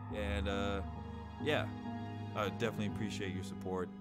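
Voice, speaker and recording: With music in the background, a fairly low male voice keeps fairly even intonation. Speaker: war veteran. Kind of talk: casual talk to camera.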